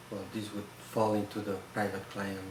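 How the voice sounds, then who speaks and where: In a Catalan Spanish accent, a man speaks fairly slowly with fairly low pitch and monotone, flat intonation, amid noticeable background noise and audible room echo. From Spain, Barcelona (Catalonia). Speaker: photograph conservator. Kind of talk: interview. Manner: halting.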